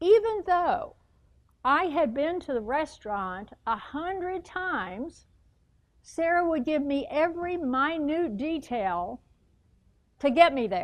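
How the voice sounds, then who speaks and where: In a Texas accent, a woman speaks at a very slow pace with long, frequent pauses. Her high voice moves in very wide pitch swings. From US, moved coast-to-coast. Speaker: motivational speaker. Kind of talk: public speech.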